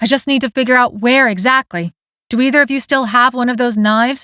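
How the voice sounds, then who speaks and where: A woman uses a put-on character voice with a high pitch. She talks at a very fast pace. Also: fairly even intonation. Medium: read story.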